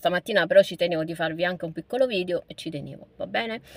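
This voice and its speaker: A woman with a bright, sharp tone at a very fast pace. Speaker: vlogger. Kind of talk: casual vlog monologue. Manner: animated.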